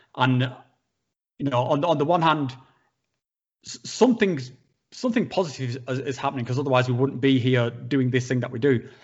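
A man with a northern English accent, medium-pitched, at a fairly quick pace broken by long, frequent pauses. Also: ordinary pitch variation. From northern England. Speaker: psychedelics YouTuber. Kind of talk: casual chat.

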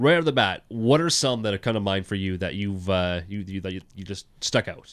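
A man's fairly low voice at a fairly quick pace, with ordinary pitch variation, an ordinary speaking voice, and a very clean recording with a silent background. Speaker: podcast host, team operations staffer. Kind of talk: casual podcast chat. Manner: chatty, upbeat.

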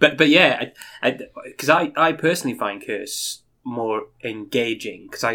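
Recorded very cleanly against a silent background, a man at a medium pitch has an ordinary speaking voice with ordinary pitch variation. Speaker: podcast co-host.

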